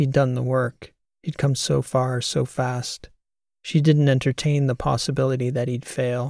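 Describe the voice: The speech is plain reading aloud. Behind it, the background is quiet.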